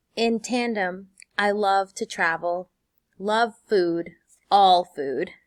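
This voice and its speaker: The recording is very clean with a silent background, catching a woman's warm tone in a dry, close sound with no echo and ordinary pitch variation. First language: Spanish. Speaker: high school Spanish teacher. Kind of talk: teacher welcome video. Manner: warm, encouraging.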